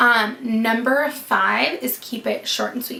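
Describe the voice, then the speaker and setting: Noticeable background noise sits behind a woman with an American accent, whose fairly high pitch holds fairly even intonation. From US West Coast, Sonoma County, California. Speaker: wedding planner. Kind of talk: casual vlog tutorial. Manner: fast; casual, filler-heavy.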